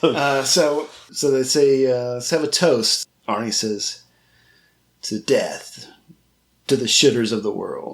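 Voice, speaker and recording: Fairly high male voice at a very slow pace, broken by long, frequent pauses, with ordinary pitch variation. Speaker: film podcast host. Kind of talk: casual chat. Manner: animated.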